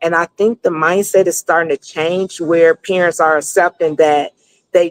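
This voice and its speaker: A woman with a plain, everyday voice speaks at a moderate pace and a fairly low pitch, the sound dry and close with no echo. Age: 60s. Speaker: business consultant. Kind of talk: interview.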